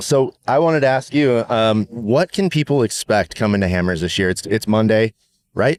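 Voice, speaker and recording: In an unremarkable speaking voice, a man speaks at a moderate pace and medium pitch with lively intonation and very even loudness, the sound dry and close with no echo on a very clean recording with a silent background. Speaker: podcast host, off-road racer. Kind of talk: casual podcast interview. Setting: outdoors at a race venue.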